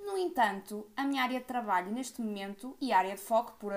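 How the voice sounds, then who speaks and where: A woman speaks at a fairly quick pace. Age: 20s. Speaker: podcast co-host. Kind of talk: casual chat.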